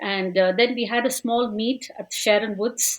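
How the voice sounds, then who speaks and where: A woman in a Tamil accent speaks at a fairly slow pace, her fairly high pitch showing ordinary variation. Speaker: language school teacher. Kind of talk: podcast interview.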